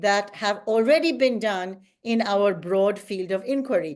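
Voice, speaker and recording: A woman speaks in a normal speaking voice at a moderate pace with ordinary pitch variation. The background is quiet. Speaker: guest lecturer. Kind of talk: lecture.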